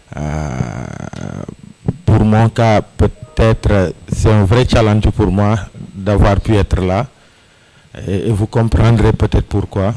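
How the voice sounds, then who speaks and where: Very slow speech with ordinary pitch variation and long, frequent pauses, over music in the background. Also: man, fairly low pitch for a man. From Senegal. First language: French. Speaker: civic activist panelist. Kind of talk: panel discussion. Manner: halting.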